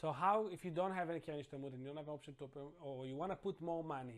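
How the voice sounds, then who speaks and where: Speaking at a very fast pace, a man has a fairly high pitch. His pitch varies an ordinary amount. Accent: Israeli. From Israel. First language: Hebrew. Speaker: financial consultant. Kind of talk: tutorial. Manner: casual, slightly halting non-native delivery.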